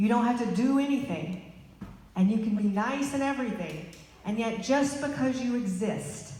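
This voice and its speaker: A woman with a Southern US accent talks at a moderate pace with lively intonation and a fairly high pitch. Audible room echo and noticeable background noise are present. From Arkansas. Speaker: political candidate. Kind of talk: rally speech. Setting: rally with audience.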